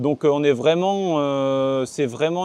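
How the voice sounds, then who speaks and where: Recorded dry and close with no echo, a man speaks at a fairly slow pace in a dark, mellow tone, fairly high in pitch with ordinary pitch variation. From northern France, Côte d'Opale. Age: 20s. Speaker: ornithologist. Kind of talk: interview. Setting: outdoors on coastal cliffs. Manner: halting, many fillers and repetitions.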